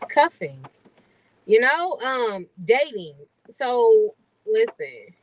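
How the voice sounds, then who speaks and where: In a Louisville accent, the speaker moves at a very slow pace with very wide pitch swings and long, frequent pauses, in a dry, close sound with no echo. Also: woman, high pitch for a woman. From Louisville, Kentucky. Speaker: podcast co-host and bartender. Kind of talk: casual live-stream chat.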